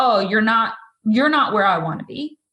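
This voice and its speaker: The pace is moderate. Pitch variation is ordinary. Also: woman. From Massachusetts. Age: 40s. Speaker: photographer and coach. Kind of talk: interview conversation.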